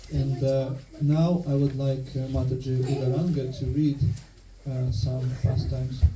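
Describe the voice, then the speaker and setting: Over noticeable background noise and audible room echo, a man of medium pitch talks at a fairly slow pace with fairly even intonation. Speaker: temple speaker. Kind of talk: religious lecture. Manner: monotone; halting.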